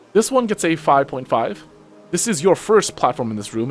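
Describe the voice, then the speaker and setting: Music sounds in the background. A man speaks at a moderate pace. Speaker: VTuber. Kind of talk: casual game commentary. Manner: casual, chatty.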